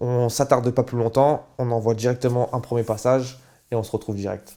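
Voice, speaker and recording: On a very clean recording with a silent background, a man with a dark, mellow tone speaks at medium pitch in a monotone, flat way at a fairly quick pace. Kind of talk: casual talk to camera.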